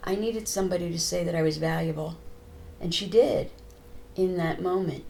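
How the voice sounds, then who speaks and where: Someone with an American accent talks at a moderate pace. Background noise is noticeable, along with audible room echo. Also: woman. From United States. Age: 70s. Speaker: trauma therapist. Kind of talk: interview.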